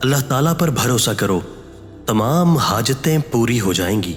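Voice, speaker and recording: Music plays in the background while a man speaks at a medium pitch with lively intonation. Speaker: voice-over artist. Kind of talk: inspirational quote narration.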